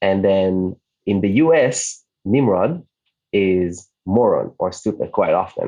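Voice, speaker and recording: Speaking very slowly in an Israeli accent, a man with a fairly low pitch keeps his loudness very even and his pitch variation ordinary. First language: Hebrew. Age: 30s. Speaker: digital nomad community founder. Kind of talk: podcast interview.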